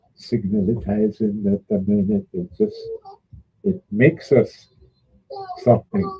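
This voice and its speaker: In a dry, close sound with no echo, a man with an American accent speaks at a very slow pace with long, frequent pauses. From St. Croix, US Virgin Islands. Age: 80s+. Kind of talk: casual chat.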